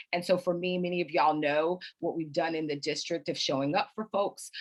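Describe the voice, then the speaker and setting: A woman speaks with an ordinary speaking voice. Her pitch is fairly low and her intonation fairly even. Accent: American. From Florida, Clearwater. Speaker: congressional candidate. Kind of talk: candidate forum answer.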